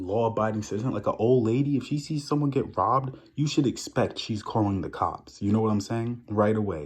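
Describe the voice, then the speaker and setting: Against a quiet background, a man with a New York accent speaks at a fairly quick pace with hardly any pauses, in an animated, somewhat breathy tone. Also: medium pitch for a man, ordinary pitch variation. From New York, Long Island. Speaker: vlogger. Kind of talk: casual rant to camera.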